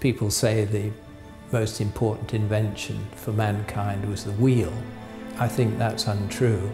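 A man with an English accent speaks at a fairly slow pace in a flat monotone, with clear music playing in the background. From England. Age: 70s. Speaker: inventor. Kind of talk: interview answer. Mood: warm, amused, storytelling.

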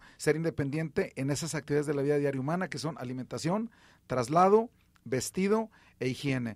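A man with a plain, everyday voice talks at a fairly quick pace. His pitch is fairly high and his intonation lively. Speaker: radio host and rehabilitation physician. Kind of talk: radio health call-in show. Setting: radio studio.

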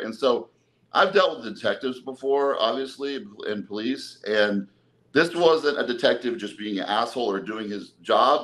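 Lively intonation marks this man's medium-pitched voice, spoken with an American accent. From Texas, Dallas. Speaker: bodybuilder and personal trainer; podcast guest. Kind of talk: casual interview, personal life story. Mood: emotional, recounting hard past. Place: home room. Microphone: video call.

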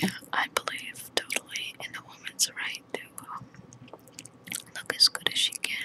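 A woman whispers over loud background noise. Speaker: makeup vlogger. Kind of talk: casual vlog chat. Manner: close intimate whisper, slow pauses. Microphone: phone near.

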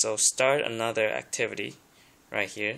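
A man with a non-native accent and a bright, sharp tone speaks at a moderate pace with fairly even intonation. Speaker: tablet user showing his setup. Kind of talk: tech tutorial talk to camera. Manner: nervous, hesitant. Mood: nervous, hesitant, many ums. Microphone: phone near.

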